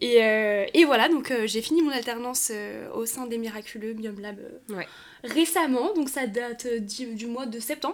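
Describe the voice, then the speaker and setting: A woman speaks fairly slowly at a high pitch, with ordinary pitch variation. Her loudness swings a lot. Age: 20s. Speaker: content creator. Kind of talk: casual chat.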